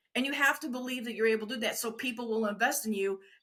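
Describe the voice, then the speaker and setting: The voice has an animated tone that is bright and sharp. Its pitch varies in an ordinary way. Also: woman. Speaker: wedding industry veteran and former photographer. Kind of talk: interview.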